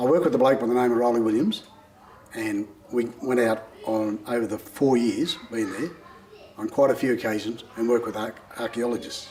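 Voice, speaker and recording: At a fairly quick pace, a man with a medium pitch speaks with fairly even intonation against noticeable background noise. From Australia, Condobolin, New South Wales. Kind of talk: interview testimony. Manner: hesitant, many fillers.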